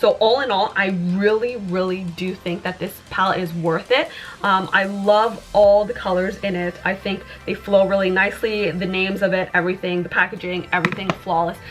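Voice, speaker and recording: Over music in the background, a woman speaks at a medium pitch and a moderate pace. Her intonation is fairly even. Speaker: beauty youtuber. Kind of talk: makeup review. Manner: halting, with fillers.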